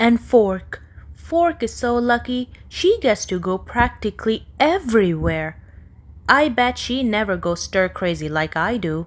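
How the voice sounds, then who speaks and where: A woman's put-on character voice, mumbling at a fairly slow pace, fairly high in pitch with very wide pitch swings, on a very clean recording with a silent background. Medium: read story. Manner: mumbling, sulky.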